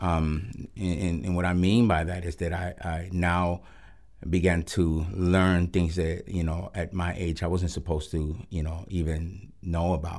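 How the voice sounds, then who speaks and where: With a Spanish accent, a man speaks at a fairly slow pace in a very deep, low pitch and a monotone, flat intonation. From Puerto Rico, then Los Angeles from age nine. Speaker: pastor of a recovery ministry. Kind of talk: testimony. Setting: radio studio interview. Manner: halting, many fillers and repeated words.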